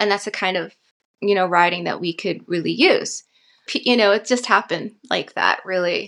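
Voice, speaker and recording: A woman speaks at a moderate pace with a medium pitch and vocal fry. Her intonation is fairly even, and the background is quiet. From northern New Mexico. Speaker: actress and writer. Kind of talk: interview.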